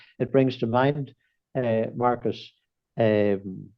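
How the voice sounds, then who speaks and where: A man with a Northern Irish accent speaks in a monotone, flat intonation. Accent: Northern Irish (Fermanagh). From Ireland, County Fermanagh. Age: 70s. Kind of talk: podcast interview. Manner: hesitant, many repetitions and fillers.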